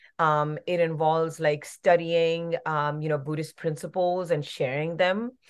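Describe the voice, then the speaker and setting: This woman has a normal speaking voice, fairly low in pitch, with fairly even intonation and a fairly slow pace. The background is quiet. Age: 40s. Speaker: actress and activist. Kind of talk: interview. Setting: remote interview.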